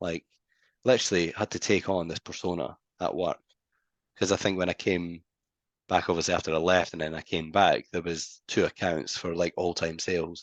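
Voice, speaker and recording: At a moderate pace, a man speaks in a very deep, low pitch with monotone, flat intonation and long, frequent pauses. The sound is dry and close with no echo, against a quiet background. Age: 20s. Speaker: business founder and CEO. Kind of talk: casual interview chat.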